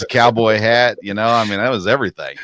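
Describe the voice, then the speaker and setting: There is a bright, sharp tone to this man's voice, which carries a Tennessee accent. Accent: US Southern (Tennessee). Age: 40s. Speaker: sports podcast host. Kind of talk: casual interview chat.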